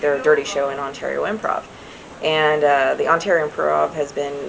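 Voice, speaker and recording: There is noticeable background noise while a woman speaks at a very fast pace. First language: American Sign Language. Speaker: sign language interpreter. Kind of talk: casual interview. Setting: comedy club after a show.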